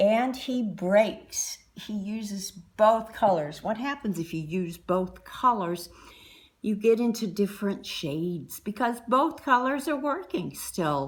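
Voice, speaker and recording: Speaking very slowly with an American accent, the woman has a medium pitch, a somewhat breathy voice and lively intonation. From US Midwest, Indiana. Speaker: painter and art teacher. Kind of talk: art tutorial. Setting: artist's studio.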